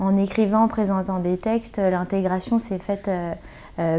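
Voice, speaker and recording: A woman speaks in a dark, mellow tone at a fairly slow pace, her intonation monotone and flat. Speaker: comedian and web video actress. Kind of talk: interview. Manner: hesitant, many fillers.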